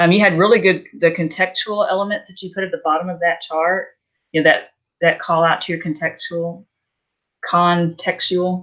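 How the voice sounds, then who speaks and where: A woman speaks at a moderate pace in a medium pitch with fairly even intonation and a plain, everyday voice. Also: big swings in loudness. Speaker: student giving peer feedback. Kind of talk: casual peer feedback.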